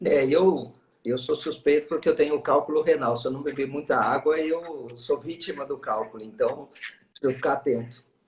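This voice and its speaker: Fairly even intonation marks a man's somewhat breathy delivery. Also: moderate pace. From São Paulo state interior, Americana. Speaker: gymnastics expert guest. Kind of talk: casual live-stream chat. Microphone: sounds a bit quiet.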